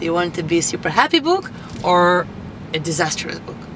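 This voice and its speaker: A woman talks at a moderate pace, the sound dry with no echo, while noticeable background noise carries on. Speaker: motivational vlogger. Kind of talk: casual vlog chat. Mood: cheerful, upbeat. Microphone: camera far.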